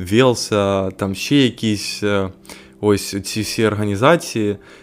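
Speech at a fairly slow pace with ordinary pitch variation comes through noticeable background noise. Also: man. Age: young. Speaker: podcast host, law student. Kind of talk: solo monologue podcast. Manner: casual, hesitant with filler sounds.

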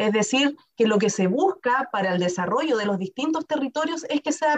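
With a high pitch and lively intonation, a woman talks at a fairly quick speed. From Chile, Temuco (Araucanía). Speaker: lawyer and university director. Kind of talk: interview.

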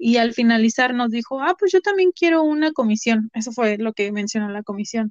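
A woman speaks with a central Mexican accent at a fairly high pitch. Her pace is fairly quick and her intonation lively. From Mexico, Puebla. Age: 20s. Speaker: university student. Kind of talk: interview. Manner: halting.

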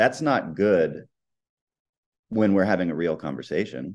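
A man with an American accent speaks at a fairly slow pace in a very deep, low pitch with vocal fry over a quiet background. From United States. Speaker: comedian and musician. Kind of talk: casual interview chat, personal storytelling.

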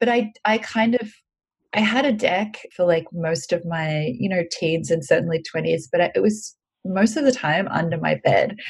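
With an Australian accent, a woman speaks at a moderate pace in a medium pitch. Her voice is somewhat breathy, and her intonation is lively. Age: 30s. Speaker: editor and tarot reader. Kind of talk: casual interview.

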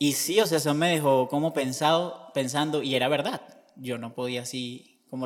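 In an ordinary speaking voice, this man holds a medium pitch and a moderate pace. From Venezuela, Barquisimeto. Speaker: seminarian, theology student. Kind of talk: interview testimony.

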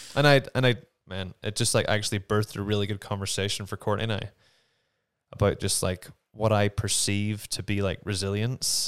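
In a Northern Irish accent, the speaker keeps a fairly even intonation and a fairly quick pace on a very clean recording with a silent background. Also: man, fairly low pitch for a man. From Northern Ireland. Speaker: actor. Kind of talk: casual conversation. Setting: home studio.

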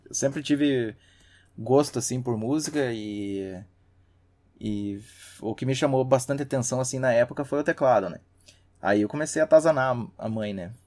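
A man's medium-pitched voice at a moderate pace, with ordinary pitch variation, big swings in loudness and long, frequent pauses, on a very clean recording with a silent background. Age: 30s. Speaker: systems analyst and hobby musician. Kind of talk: casual chat.

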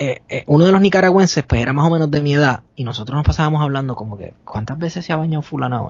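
Speaking in a Puerto Rican accent at a very fast pace, the voice hardly pauses and sounds somewhat breathy. Its pitch varies in an ordinary way, while the loudness swings widely. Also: man, fairly high pitch for a man. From Puerto Rico. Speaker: podcaster. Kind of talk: casual storytelling.

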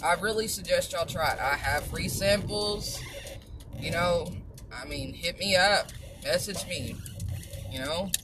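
A woman speaks at a fairly slow pace with long, frequent pauses over noticeable background noise. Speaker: supplement seller and vlogger. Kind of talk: casual monologue with sales pitch. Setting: driving in a car. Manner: animated, chatty, upbeat.

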